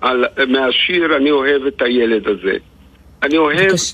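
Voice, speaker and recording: The man's tone is bright and sharp, with ordinary pitch variation. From Israel, Lod; Algerian-born family. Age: 80s+. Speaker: poet. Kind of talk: radio interview. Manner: halting, repeats words.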